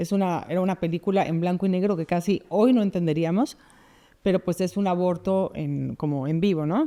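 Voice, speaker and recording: A woman with a Mexican accent speaks in a fairly low pitch and a dark, mellow tone. Her moderate pace and ordinary pitch variation come through on a very clean recording with a silent background. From Mexico City. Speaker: pro-life expert. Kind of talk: interview conversation.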